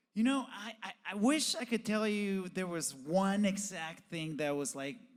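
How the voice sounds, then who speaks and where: With a non-native accent, a man speaks at a fairly slow pace, his high pitch carrying lively intonation. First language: Spanish. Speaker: professional BMX rider and TV host. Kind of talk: podcast interview.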